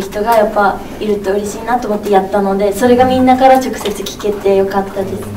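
With a Tsugaru accent, a woman speaks at a very fast pace and fairly even intonation, amid light background noise and audible room echo. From Aomori, Japan. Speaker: TV personality. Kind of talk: press event interview answer. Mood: cheerful, warm. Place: meeting room.

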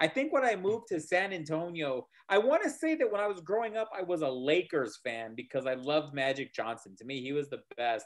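Over a quiet background, a man with an American accent speaks at a fairly quick pace. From El Paso, Texas; Texas. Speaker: lawyer and podcast co-host; lawyer, podcast co-host. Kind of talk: casual chat; casual conversation. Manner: halting, repeats words. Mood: relaxed, reminiscing. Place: home room. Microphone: video call.

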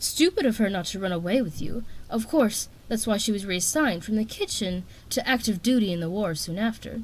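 The intonation moves in a lively way. A passage is read aloud in a natural voice.

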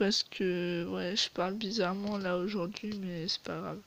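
Slowly, a woman speaks with fairly even intonation.

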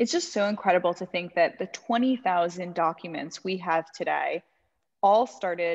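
Against a quiet background, a woman with an unremarkable speaking voice and fairly low pitch talks at a moderate pace with fairly even intonation and big swings in loudness. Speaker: museum educator hosting series. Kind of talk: educational webinar presentation. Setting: video call. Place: home room. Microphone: webcam.

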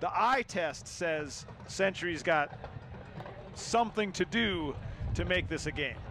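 A man with a high voice speaks at a fairly slow pace over music in the background. His pitch varies in an ordinary way. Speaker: color commentator. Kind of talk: live sports commentary. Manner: casual, analytical.

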